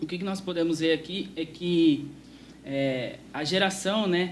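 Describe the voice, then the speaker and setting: Recorded with noticeable background noise and audible room echo, a man talks at a fairly slow pace. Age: young. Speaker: youth preacher. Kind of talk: sermon.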